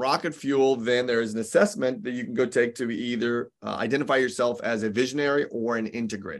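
Hardly pausing, a man speaks at a fairly quick pace in a medium pitch with ordinary pitch variation. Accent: American. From US Midwest (Indianapolis, Indiana). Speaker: business coach and entrepreneur. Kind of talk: casual interview chat. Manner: animated.

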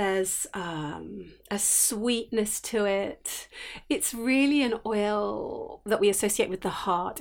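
Very slowly, a woman speaks in a sing-song manner. The recording is very clean, with a silent background. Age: 50s. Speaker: essential oils teacher and podcast host. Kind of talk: solo podcast talk, reflective teaching. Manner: gentle, warm.

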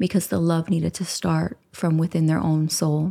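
Her voice is fairly low for a woman, with a dark, mellow tone. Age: 40s. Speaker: self-love coach and podcast host. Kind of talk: solo podcast monologue. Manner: animated.

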